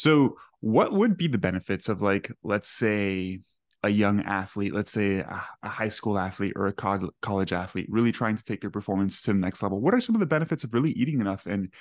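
Against a quiet background, a man with a Spanish accent speaks fairly quickly at a fairly low pitch, with ordinary pitch variation. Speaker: podcast host and nutrition coach. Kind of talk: casual educational chat. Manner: animated, conversational.

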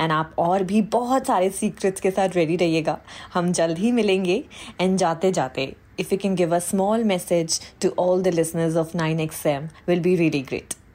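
Dark and mellow in tone, a woman's fairly low voice moves at a moderate pace with ordinary pitch variation. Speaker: podcast host. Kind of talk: interview intro and conversation.

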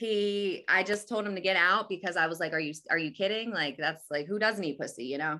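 With a New Jersey accent, a woman talks at a fairly quick pace with hardly any pauses, her bright, sharp tone at medium pitch showing ordinary pitch variation. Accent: New Jersey American. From New Jersey, Atlantic City area. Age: 30s. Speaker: podcast host. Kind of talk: casual chat.

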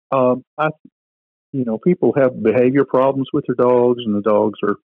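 A man with an unremarkable speaking voice talks at a fairly slow pace with fairly even intonation. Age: 60s. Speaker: retired minister. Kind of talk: casual interview.

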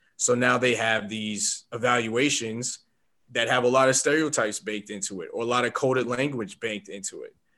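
A man's medium-pitched, bright, sharp voice with an American accent, fairly even intonation and a moderate pace. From New York City, the Bronx. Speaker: filmmaker. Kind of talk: casual chat.

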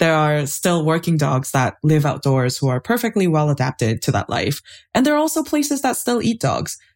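On a very clean recording with a silent background, a woman with a Canadian accent speaks at a moderate pace, her very deep, low voice making very wide pitch swings at very even loudness. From Canada, Toronto. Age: 20s. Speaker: anthropologist. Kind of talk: casual interview.

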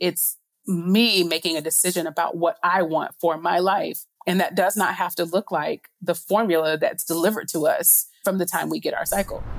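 A woman's normal speaking voice, fairly low in pitch, at a moderate pace with fairly even intonation. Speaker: world traveler. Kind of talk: interview.

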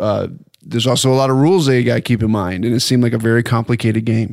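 On a very clean recording with a silent background, a man speaks at medium pitch with fairly even intonation. He has a plain, everyday voice. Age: 40s. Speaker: comedian and writer. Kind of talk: casual chat. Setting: home guest bedroom, shared single microphone.

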